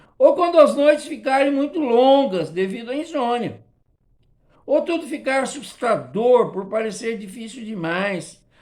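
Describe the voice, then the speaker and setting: This is a very clean recording with a silent background. The talking moves at a fairly slow pace. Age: 60s. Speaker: Sunday school teacher. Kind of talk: Sunday school lesson.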